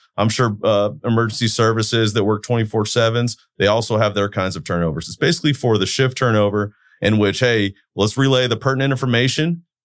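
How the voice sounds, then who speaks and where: A man with a Californian accent at a very fast pace, medium in pitch, with ordinary pitch variation. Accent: Californian American. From Turlock, California (US). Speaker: utility control center manager. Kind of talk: interview.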